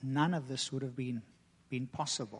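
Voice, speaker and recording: This man has a normal speaking voice, pitched fairly high, with fairly even intonation. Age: 40s. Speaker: guest preacher. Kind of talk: sermon.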